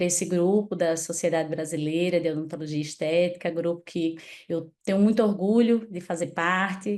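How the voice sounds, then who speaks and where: Here the pitch rises and falls in an ordinary way. The speaker is a woman. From Natal, northeastern Brazil. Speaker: dentist. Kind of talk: online talk presentation.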